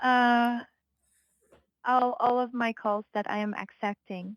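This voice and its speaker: A robotic woman's voice with a Filipino accent, fairly high in pitch, monotone and flat, very slow, dry and close with no echo. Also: very clean recording, silent background. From Philippines. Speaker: hotel reservation agent. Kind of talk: customer service call. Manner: halting, robotic-sounding.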